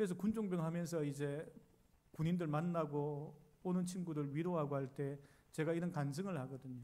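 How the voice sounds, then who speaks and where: A man with a fairly high pitch and a dark, mellow tone talks with ordinary pitch variation in a room with audible echo. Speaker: pastor. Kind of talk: sermon.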